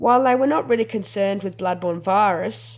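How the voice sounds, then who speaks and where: Speaking with an Australian accent, the voice has lively intonation. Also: woman. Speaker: anthropologist researcher. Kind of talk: academic presentation. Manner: subdued, not animated.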